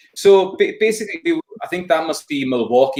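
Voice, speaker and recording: A man speaks with lively intonation in a Hebridean accent. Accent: Hebridean Scottish. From Scotland, Isle of Lewis. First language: Scottish Gaelic. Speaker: folk singer and Gaelic tutor. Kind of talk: casual interview chat. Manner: animated.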